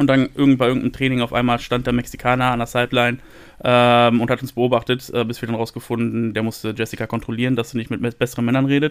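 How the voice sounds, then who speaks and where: At a very fast pace, a man talks in a medium pitch. His intonation stays flat and monotone. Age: 30s. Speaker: podcast host and American football player. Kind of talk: casual chat.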